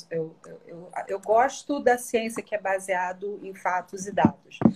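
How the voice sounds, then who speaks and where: Somewhat breathy female speech with ordinary pitch variation. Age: 40s. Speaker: image consultant. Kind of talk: live-stream interview.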